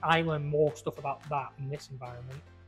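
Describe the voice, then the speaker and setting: Music plays in the background. Over it, a man speaks at a fairly high pitch with ordinary pitch variation. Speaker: pizza maker, podcast host. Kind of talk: casual interview chat.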